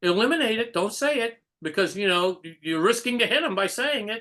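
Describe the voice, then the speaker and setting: At a moderate pace, a man with a high pitch speaks in a raised, projected voice. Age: 60s. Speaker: Orthodox rabbi. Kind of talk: casual chat. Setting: video call.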